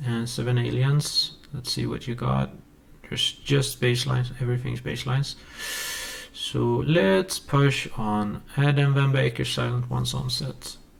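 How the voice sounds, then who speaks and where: This man talks at a fairly slow pace. He has a Swedish accent. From Sweden. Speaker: music producer YouTuber. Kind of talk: tutorial. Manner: halting. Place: home room.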